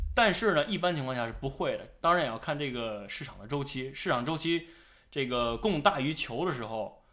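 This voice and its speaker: Fairly quick and loud in big swings, a man talks in a fairly high voice with a bright, sharp tone. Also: lively intonation. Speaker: podcast host. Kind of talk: casual chat.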